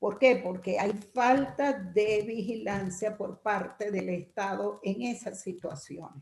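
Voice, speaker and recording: Vocal fry runs through this woman's medium-pitched voice. She talks at a very slow pace with hardly any pauses. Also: ordinary pitch variation. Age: 60s. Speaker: workshop participant. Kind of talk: group discussion comment.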